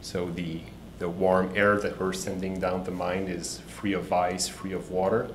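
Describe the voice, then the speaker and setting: A man with a Quebec accent and a very deep, low pitch speaks at a fairly slow pace in a monotone, flat intonation. Noticeable background noise and audible room echo fill the recording. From Quebec City, Canada. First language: French. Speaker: startup CEO. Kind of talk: pitch presentation. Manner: halting, many repetitions.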